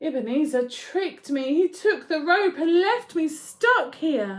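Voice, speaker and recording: Putting on a character voice, a woman projects at an extremely high pitch, swinging very widely in pitch at a fairly slow pace. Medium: read story.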